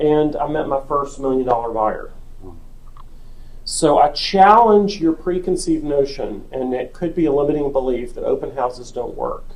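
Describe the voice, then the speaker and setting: A moderate pace with audible room echo. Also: man. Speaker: real estate agent and sales trainer. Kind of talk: team meeting presentation.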